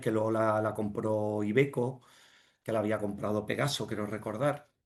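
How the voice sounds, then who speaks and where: A man is speaking at a fairly slow pace. His intonation is monotone and flat. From Andalusia, Jerez de la Frontera. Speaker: finance director and entrepreneur. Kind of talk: interview. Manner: halting, many fillers and repetitions.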